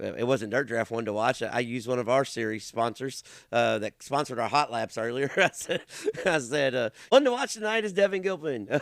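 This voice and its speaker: Lively in intonation, a man with a Kentucky accent talks at a medium pitch and a fairly quick pace. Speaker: race announcer and podcast host. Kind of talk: casual chat. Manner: loud.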